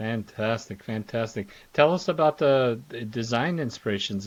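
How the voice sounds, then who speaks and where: A normal speaking voice from a man with an American accent at a moderate pace, on a very clean recording over a silent background. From Philadelphia. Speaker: podcast host. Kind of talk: podcast interview. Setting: podcast.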